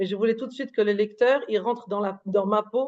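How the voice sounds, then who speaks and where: Fairly high in pitch, a woman's voice moves with fairly even intonation. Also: quiet background. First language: not French; thinks in Hebrew or English (speaking French). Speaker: author. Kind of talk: interview. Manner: halting, many fillers and repetitions.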